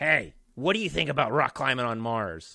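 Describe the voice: A man uses a put-on character voice, nasal and at a medium pitch, moving at a moderate pace with very wide pitch swings.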